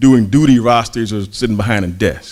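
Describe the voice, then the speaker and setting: With an American accent, a man has an unremarkable speaking voice, medium pitch, ordinary pitch variation and a moderate pace. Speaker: pastor. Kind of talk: sermon.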